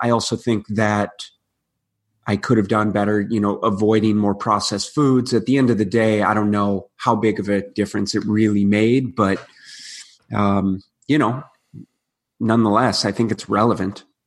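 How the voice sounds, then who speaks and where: With an American accent, a man talks at a moderate pace in an ordinary speaking voice, fairly low in pitch, against a quiet background. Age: 30s. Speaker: nutritionist and rugby player. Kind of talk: casual interview.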